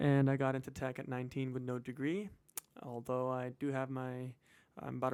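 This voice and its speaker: In an American accent, a man talks at a fairly quick pace. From US West Coast, San Francisco Bay Area. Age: 20s. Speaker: personal finance vlogger. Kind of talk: casual chat. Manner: casual, halting with fillers.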